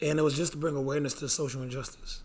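Strained and bright, a man's voice comes through with a sharp tone. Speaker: podcast host. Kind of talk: casual banter podcast.

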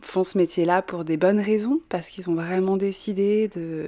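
Against a silent background on a very clean recording, a woman speaks at a fairly low pitch in a dark, mellow tone with fairly even intonation. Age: young. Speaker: natural wine distributor. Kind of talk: interview. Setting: at her home.

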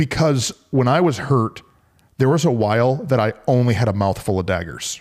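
Lively intonation marks this man's delivery, in an unremarkable speaking voice. He keeps a moderate pace. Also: medium pitch for a man, very even loudness. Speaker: podcast co-host, pastor. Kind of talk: casual chat.

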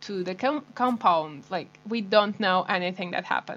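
Intonation stays fairly even in this voice with a Portuguese accent. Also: woman. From Portugal. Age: 20s. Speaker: guest. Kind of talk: casual chat.

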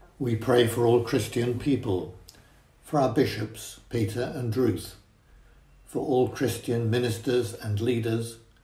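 A man with a medium pitch and a dark, mellow tone speaks at a fairly slow pace, sounding somewhat breathy. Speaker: prayer leader at a church service. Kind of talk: intercessory prayer. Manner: formal.

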